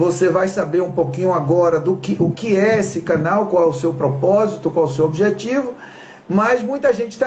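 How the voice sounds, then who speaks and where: A high-pitched man with a Bahian accent talks at a moderate pace over noticeable background noise. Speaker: talk show host. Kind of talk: live stream talk.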